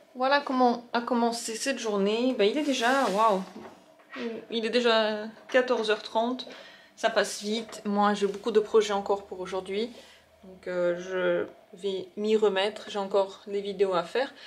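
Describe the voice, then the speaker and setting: Fairly even intonation marks a woman's fairly slow delivery. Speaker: vlogger. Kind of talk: casual vlog talk. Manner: halting; soft-spoken.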